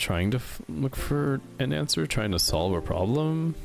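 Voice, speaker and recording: A man's pitch swings very widely while music plays in the background. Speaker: vtuber streamer. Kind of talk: casual chat. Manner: halting.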